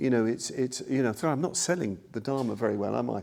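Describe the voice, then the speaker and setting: A man's medium-pitched voice with lively intonation and a dark, mellow tone. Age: 60s. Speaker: Buddhist teacher. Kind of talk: dharma talk. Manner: halting, many fillers.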